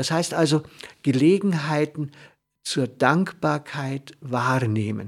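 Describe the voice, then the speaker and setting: Very slowly, a man speaks at a fairly high pitch. His pitch varies in an ordinary way. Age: 60s. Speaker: radio host. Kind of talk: reflective talk. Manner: halting.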